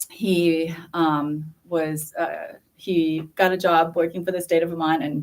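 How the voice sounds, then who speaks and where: A woman's fairly low voice with a Thai accent. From northern Thailand. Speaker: school principal candidate. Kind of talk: interview at a community forum. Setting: public community forum. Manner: hesitant, many fillers.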